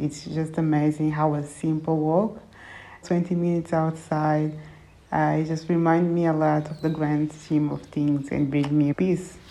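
With a Portuguese accent, a woman speaks at a fairly slow pace in a very deep, low pitch. Her tone is dark and mellow, and her intonation stays monotone and flat. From Angola, raised in Portugal from age six. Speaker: sustainability blogger. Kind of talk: personal reflection monologue.

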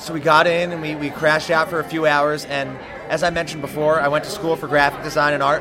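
Over crowd noise and audible room echo, a man with an American accent talks very fast in a fairly high, monotone voice with flat intonation. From New Jersey. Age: 20s. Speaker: rock band musician. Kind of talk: casual interview chat.

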